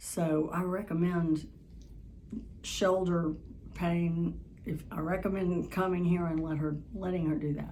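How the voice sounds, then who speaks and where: This woman's voice is fairly low, dark and mellow, somewhat breathy, and flat and monotone in intonation. She talks at a fairly slow pace with long, frequent pauses, and room echo is audible. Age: 70s. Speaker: patient. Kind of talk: testimony. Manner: halting.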